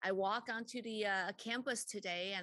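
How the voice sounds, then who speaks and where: This woman has a bright, sharp tone, recorded dry with no echo against a quiet background. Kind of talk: opening remarks at a formal meeting. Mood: warm, upbeat. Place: meeting room. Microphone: podium.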